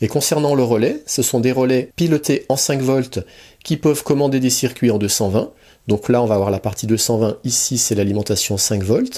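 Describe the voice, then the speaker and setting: A man's medium-pitched, dark, mellow voice at a moderate pace, with ordinary pitch variation and very even loudness, on a very clean recording with a silent background. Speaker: electronics hobbyist youtuber. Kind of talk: tutorial. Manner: soft-spoken.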